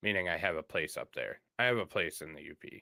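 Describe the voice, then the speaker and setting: This man speaks at a moderate pace with a slight Upper Michigan accent, and the sound is dry and close with no echo. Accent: slight Yooper. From northern US Midwest (Michigan, not Upper Peninsula). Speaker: streamer. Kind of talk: live stream news reading and commentary. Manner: casual, with hesitations.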